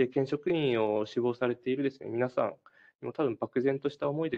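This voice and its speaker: A man talks at a very fast pace, his medium-pitched voice keeping a fairly even intonation. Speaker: prefectural government employee. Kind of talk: recruitment info session talk. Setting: online web briefing. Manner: formal, with frequent fillers.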